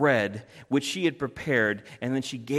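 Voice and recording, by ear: Someone reads a text out loud, reading aloud in a natural voice.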